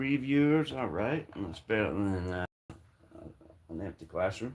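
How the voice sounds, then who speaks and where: The speaker has an American accent and a relaxed tone, talking at a fairly slow pace. The pitch swings very widely, and the loudness swings a lot too. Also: man, fairly low pitch for a man. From Scotland. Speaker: woodworking livestreamer, former home builder. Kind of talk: casual livestream chat while painting. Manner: relaxed, joking.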